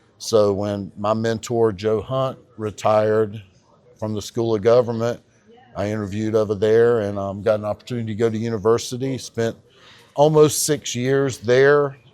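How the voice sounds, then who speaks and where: With a North Carolina accent, a man talks with fairly even intonation. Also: medium pitch for a man, moderate pace. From North Carolina, Harnett County. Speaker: county tax assessor. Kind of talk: podcast interview. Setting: on camera at a conference.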